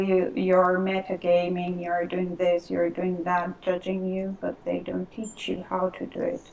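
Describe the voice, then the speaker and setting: A woman talks at a medium pitch with a non-native accent. Noticeable background noise runs under her voice. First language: Spanish. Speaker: Second Life role player. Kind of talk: casual chat. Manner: halting.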